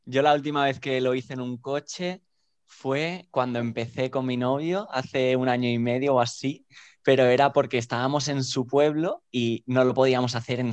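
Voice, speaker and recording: A man with an ordinary speaking voice at medium pitch, against a quiet background. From Spain, Barcelona. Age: 20s. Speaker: dancer. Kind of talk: casual chat.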